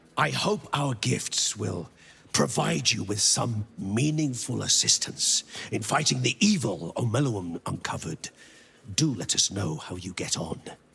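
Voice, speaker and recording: A man puts on a character voice, keeping a medium pitch and moderate tempo. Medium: video game. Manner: formal, polite.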